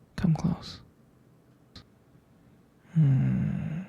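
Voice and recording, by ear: A put-on character voice from a man, fairly high in pitch, husky and rough-edged with vocal fry, fairly even in intonation and very slow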